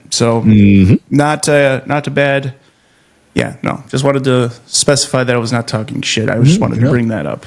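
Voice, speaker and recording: He talks with a normal speaking voice and ordinary pitch variation. His pitch sits in the medium range, and his pace is moderate. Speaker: podcast host and comedian. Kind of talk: casual podcast interview talk.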